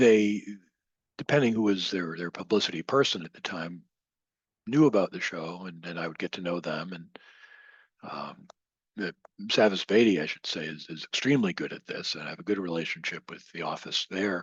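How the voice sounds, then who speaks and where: In a dry, close sound with no echo, a man with a very deep, low pitch speaks at a moderate pace with ordinary pitch variation, long and frequent pauses, and big swings in loudness. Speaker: radio host and podcaster. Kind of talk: podcast interview answer.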